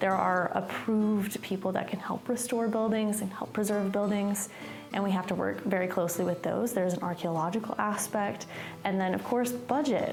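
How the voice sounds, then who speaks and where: At a moderate pace, a woman of medium pitch speaks with fairly even intonation and very even loudness, amid audible room echo and noticeable background noise. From East Tennessee. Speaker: historic preservation worker. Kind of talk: documentary interview.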